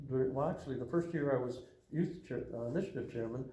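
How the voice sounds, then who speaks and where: A man at a fairly quick pace, medium in pitch and somewhat breathy, with ordinary pitch variation and audible room echo. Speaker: Freemason lodge official. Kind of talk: interview. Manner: halting, many fillers.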